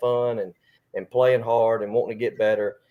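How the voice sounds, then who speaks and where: With an Alabama accent, a man talks in fairly even intonation. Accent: Southern US (Alabama). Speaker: high school baseball coach. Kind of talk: interview. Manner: loud.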